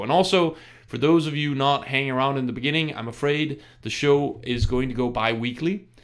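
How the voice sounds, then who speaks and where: At a fairly quick pace, a man with an American accent speaks at a medium pitch with lively intonation. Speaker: DJ and radio show host. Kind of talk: live radio show talk. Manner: casual, with many fillers and restarts.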